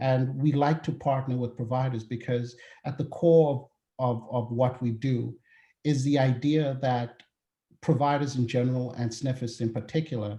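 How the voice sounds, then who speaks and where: Somewhat breathy with a dark, mellow tone, a man speaks at a moderate pace with fairly even intonation. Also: medium pitch for a man. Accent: South African. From South Africa. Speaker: healthcare data consultant. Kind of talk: webinar presentation. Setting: webinar call.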